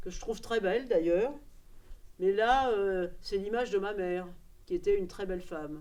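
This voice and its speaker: Her tone is dark and mellow. This woman speaks fairly slowly. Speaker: documentary workshop participant. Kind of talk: personal testimony to camera. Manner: hesitant, many fillers.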